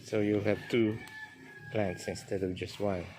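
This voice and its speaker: With music in the background and audible room echo, a man speaks very slowly at a fairly low pitch, his intonation fairly even. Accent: Filipino. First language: Filipino. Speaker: gardening vlogger. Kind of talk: casual chat.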